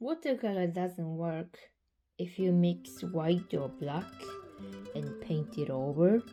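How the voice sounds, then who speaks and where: A woman's fairly low voice in a dark, mellow tone, with lively intonation at a very slow pace, on a very clean recording with a silent background. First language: not English. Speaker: hobby painter and art vlogger. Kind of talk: vlog narration.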